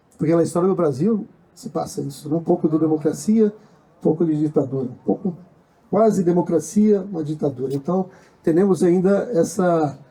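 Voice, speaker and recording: Here a man talks at a moderate pace with a high pitch. His tone is dark and mellow, with ordinary pitch variation. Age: 60s. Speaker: social movement activist. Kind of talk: panel discussion. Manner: halting.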